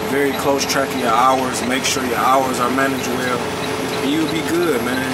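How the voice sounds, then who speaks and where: Loud background noise runs under the voice. The pace is moderate. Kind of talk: casual vlog chat. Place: car. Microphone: phone near.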